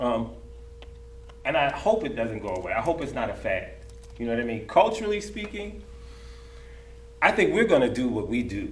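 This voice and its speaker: Fairly quick male speech broken by long, frequent pauses, with audible room echo and noticeable background noise. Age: 50s. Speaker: dancer. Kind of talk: panel discussion. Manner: animated; repetitive, stammering restarts.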